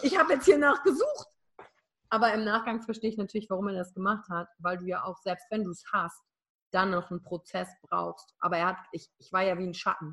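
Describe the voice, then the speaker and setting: On a very clean recording with a silent background, a woman talks fairly quickly in an animated tone at a medium pitch, with ordinary pitch variation and big swings in loudness. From Germany, Wülfrath (Rhineland). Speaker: emotional intelligence coach and keynote speaker. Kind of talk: interview, personal story.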